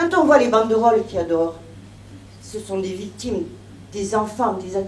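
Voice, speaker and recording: A woman with a fairly high pitch speaks at a fairly quick pace, using lively intonation and long, frequent pauses. Noticeable background noise and audible room echo are present. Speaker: bereaved mother giving testimony. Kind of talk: testimony. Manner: emotional, trembling.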